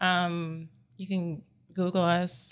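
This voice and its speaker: A woman with an unremarkable speaking voice in an American accent, pitched fairly low. Her intonation stays fairly even, and the very clean recording has a silent background. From California. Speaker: speech language pathologist and clinic owner. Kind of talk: casual interview.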